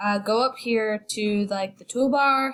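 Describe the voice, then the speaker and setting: A woman's somewhat breathy voice at medium pitch. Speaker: student. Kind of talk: tutorial. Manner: casual, hesitant.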